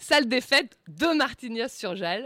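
Lively in intonation, a woman speaks with a Bordeaux accent. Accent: southwestern French (Bordeaux). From Bordeaux area, France. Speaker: comedy columnist. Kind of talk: comedic character sketch. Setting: studio.

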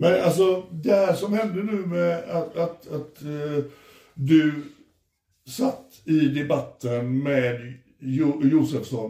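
Speaking at a very slow pace, a man uses a dark, mellow tone at a fairly high pitch, with ordinary pitch variation. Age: 50s. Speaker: podcast host. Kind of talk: casual chat. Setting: hotel room. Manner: animated.

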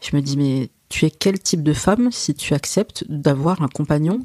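This woman's voice has a dark tone. It is also mellow. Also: dry, close sound with no echo. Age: 40s. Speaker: family caregiver and invited expert. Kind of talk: interview conversation.

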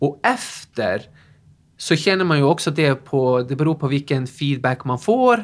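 Lively in intonation, a man with a fairly high pitch and a Norwegian accent speaks at a fairly slow pace on a very clean recording with a silent background. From northern Norway. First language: Norwegian (speaking Swedish). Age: 40s. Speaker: fitness instructor. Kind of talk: interview.

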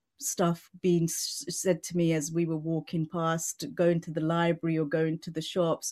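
Speaking fairly slowly, a woman with a British accent has a fairly low pitch. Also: very clean recording, silent background. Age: 40s. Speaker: mental health advocate and CEO. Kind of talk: interview, conversational.

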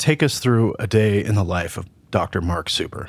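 Recorded very cleanly against a silent background, a man speaks at a fairly slow pace. He has a normal speaking voice, fairly low pitch and ordinary pitch variation. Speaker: podcast co-host, law enforcement. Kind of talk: casual interview.

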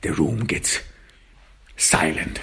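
Slowly, a man speaks in a bright, sharp tone.

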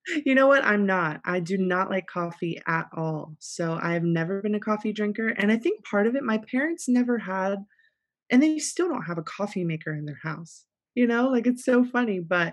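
With a normal speaking voice and an American accent, a woman speaks at a medium pitch and a moderate pace with lively intonation against a quiet background. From South Florida. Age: 30s. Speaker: pastor. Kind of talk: casual chat. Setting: studio.

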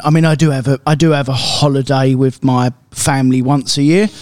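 In a British accent, a man speaks at a fairly quick pace with hardly any pauses. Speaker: car dealer and podcast co-host. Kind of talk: casual chat.

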